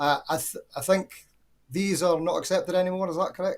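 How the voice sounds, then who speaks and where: A man with a Scottish accent speaks in a somewhat breathy voice. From Scotland. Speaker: caller. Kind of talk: casual chat.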